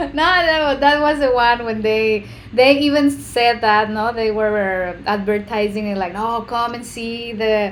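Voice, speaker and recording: A woman with a Spanish accent at a fairly high pitch, ordinary pitch variation and fairly slow pace, hardly any pauses, and audible room echo. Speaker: co-host and interpreter. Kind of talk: casual chat.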